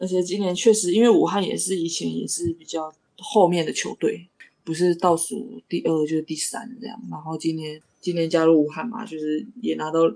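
A woman speaks in a normal speaking voice at a moderate pace. Her pitch is fairly low with ordinary variation, and her loudness swings widely. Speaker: professional basketball player. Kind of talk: casual interview.

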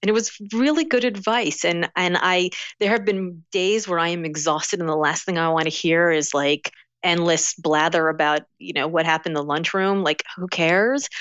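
A woman with an American accent uses a normal speaking voice at fairly low pitch, a moderate pace and ordinary pitch variation. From US South, Miami, Florida. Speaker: author and speaker. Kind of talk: casual interview.

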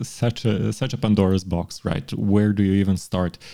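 A man's dark, mellow voice, fairly low in pitch, with a Montenegrin accent. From Montenegro. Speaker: law professor. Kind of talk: casual chat.

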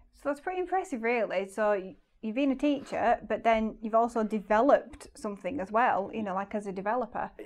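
A woman at a fairly quick pace and fairly high pitch, with lively intonation, hardly any pauses and noticeable background noise. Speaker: podcast host, former teacher. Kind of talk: casual interview.

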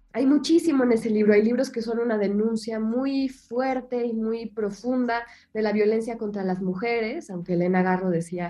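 A woman speaks at a fairly slow pace in a plain, everyday voice, her pitch varying in an ordinary way. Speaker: writer and translator. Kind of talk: interview.

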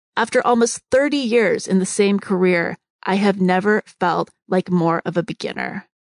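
At a moderate pace with hardly any pauses, a woman with an unremarkable speaking voice and medium pitch is heard in a dry, close sound with no echo. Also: ordinary pitch variation. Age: 50s. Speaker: podcast host. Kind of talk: monologue. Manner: reflective.

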